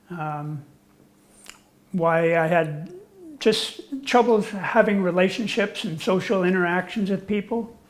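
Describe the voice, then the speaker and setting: A man with a high voice talks at a fairly slow pace. He leaves long, frequent pauses. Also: ordinary pitch variation. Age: 60s. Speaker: interviewee sharing personal experience. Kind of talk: interview testimony. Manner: halting, with fillers.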